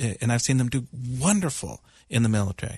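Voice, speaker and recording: Against a quiet background, a man with a medium pitch and somewhat breathy voice speaks at a moderate pace with ordinary pitch variation, in a dry, close sound with no echo. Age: 40s. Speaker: psychiatrist and internist, regular radio co-host. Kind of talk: call-in radio discussion. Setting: radio studio.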